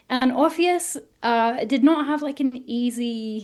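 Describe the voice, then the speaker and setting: With an English accent, a woman speaks high-pitched at a fairly slow pace with ordinary pitch variation. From northern England, South Yorkshire. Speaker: author. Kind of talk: interview.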